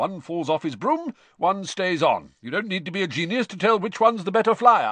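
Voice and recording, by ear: A man does a loud, put-on character voice at a high pitch with big pitch swings and a bright, sharp tone. He keeps a moderate pace in a dry, close sound with no echo.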